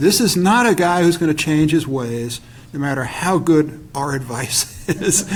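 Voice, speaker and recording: A man speaks in an ordinary speaking voice at a fairly slow pace, his intonation lively. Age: 60s. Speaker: political scientist. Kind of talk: panel discussion.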